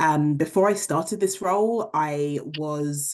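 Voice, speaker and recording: This woman has a very deep, low pitch and speaks in a London accent. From England, London. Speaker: leadership program director, panelist. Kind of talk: panel introduction.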